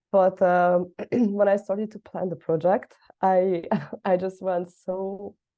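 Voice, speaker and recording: A woman speaks at a very slow pace and medium pitch. Her intonation stays flat and monotone. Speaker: student presenting project. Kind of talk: class presentation. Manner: hesitant, many fillers.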